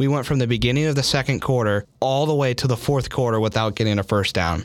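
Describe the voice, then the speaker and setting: An ordinary speaking voice from a man at a medium pitch, with ordinary pitch variation and a fairly quick pace. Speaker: podcast co-host. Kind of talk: casual sports debate.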